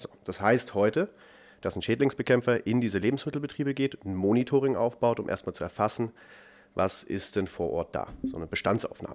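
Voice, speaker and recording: A man's unremarkable speaking voice, medium in pitch with ordinary pitch variation, at a fairly quick pace in a very clean recording with a silent background. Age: 20s. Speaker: startup founder and CEO. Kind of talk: interview conversation.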